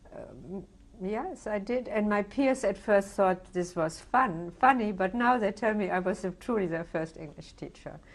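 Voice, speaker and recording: This woman's voice sits at a medium pitch, with ordinary pitch variation and a moderate pace. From Germany. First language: German. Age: 70s. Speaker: Holocaust survivor. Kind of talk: oral history interview. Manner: halting, many fillers.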